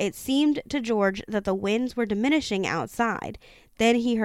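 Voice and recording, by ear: The passage is read aloud in a natural voice.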